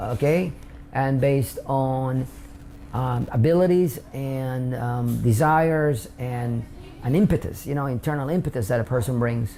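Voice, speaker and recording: A man with a Spanish accent speaks at a medium pitch and a fairly slow pace, his pitch varying in an ordinary way. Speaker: immigrant interviewee. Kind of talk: interview testimony. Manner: hesitant with fillers.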